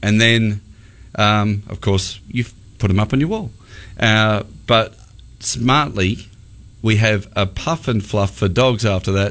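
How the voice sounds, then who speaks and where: With an Australian accent, a man speaks at a fairly slow pace and fairly low pitch. His intonation stays fairly even, broken by long, frequent pauses. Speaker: radio host. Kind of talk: casual chat. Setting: studio.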